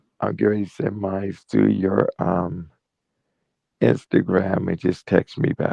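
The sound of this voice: Putting on a character voice, a man speaks at a moderate pace in a raspy, very deep, low register.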